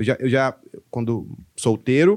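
This is a man's voice at a medium pitch. The background is quiet. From Brazil, moved between many states (military family). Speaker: stand-up comedian. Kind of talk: casual chat.

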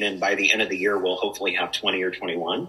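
Noticeable background noise around a man with an American accent. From Spokane area, Washington, US Pacific Northwest. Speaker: coffee company director. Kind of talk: casual chat. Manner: animated.

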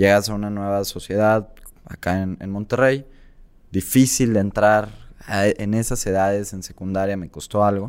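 Here is a plain, everyday voice from a man with a fairly low pitch and fairly even intonation. He keeps a moderate pace, but his loudness swings widely. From Mexico, Tabasco. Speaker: entrepreneur and content creator. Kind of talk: interview.

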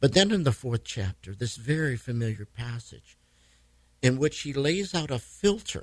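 A man with an American accent at medium pitch, somewhat breathy, at a moderate pace with very wide pitch swings. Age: 70s. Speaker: pastor. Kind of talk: casual radio interview.

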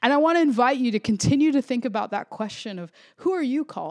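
With a Florida accent, a woman speaks at a moderate pace with very wide pitch swings on a very clean recording with a silent background. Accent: American (Florida). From Florida suburbs, Puerto Rican family. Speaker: podcast host, pastor. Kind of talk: solo devotional podcast monologue.

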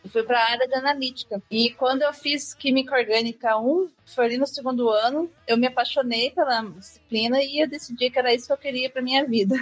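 With a high pitch, a woman talks at a fairly quick pace, keeping very even loudness, fairly even intonation and hardly any pauses. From Brazil, southern Minas Gerais. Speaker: chemistry researcher. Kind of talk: podcast interview.

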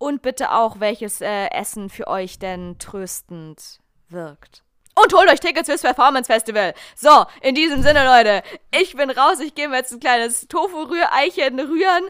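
Over a silent background in a very clean recording, a woman speaks at a moderate pace in a high pitch, with very wide pitch swings and big swings in loudness. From southern Germany, small town. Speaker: podcast host. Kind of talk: casual chat.

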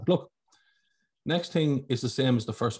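Speaking at a very fast pace, a man with an Irish accent sounds somewhat breathy, with ordinary pitch variation, on a very clean recording with a silent background. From Ireland. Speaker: podcast host. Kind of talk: casual interview.

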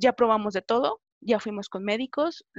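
A woman with a fairly high pitch speaks at a moderate pace with ordinary pitch variation. The sound is dry and close, with no echo. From Mexico, rural Jalisco. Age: 20s. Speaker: interviewee sharing coming-out story. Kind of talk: personal testimony in interview. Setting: video call.

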